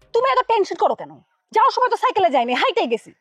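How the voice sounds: Using a put-on character voice, a woman talks at a very fast pace in an extremely high pitch with big pitch swings and a fairly bright tone, the sound dry and close with no echo and faint music in the background.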